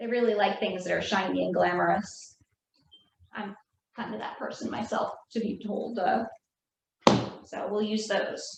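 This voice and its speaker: Speaking at a moderate pace with long, frequent pauses, a woman with a New Jersey accent is heard amid audible room echo. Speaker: craft instructor. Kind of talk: tutorial.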